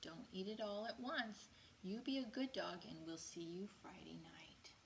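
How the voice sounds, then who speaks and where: Putting on a character voice, a woman speaks at a moderate pace with a medium pitch. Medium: read story.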